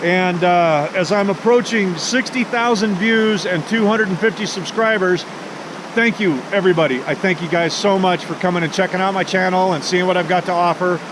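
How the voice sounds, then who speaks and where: Through noticeable background noise, a man talks at a fairly quick pace, his high pitch moving with ordinary variation. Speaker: outdoor vlogger. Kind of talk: casual vlog narration. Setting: outdoors.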